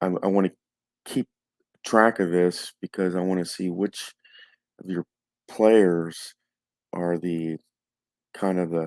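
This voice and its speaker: A soft-spoken man's very deep, low, monotone voice at a very slow pace, with long, frequent pauses. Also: dry, close sound with no echo, very clean recording, silent background. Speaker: tabletop hockey game stats host. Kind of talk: casual stats recap. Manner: halting, many fillers.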